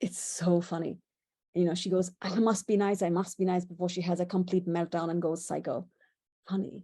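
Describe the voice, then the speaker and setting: With a dark, mellow tone, a woman talks at a moderate pace in a monotone, flat intonation. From India. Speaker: presenter. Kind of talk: illustrated presentation. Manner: conversational.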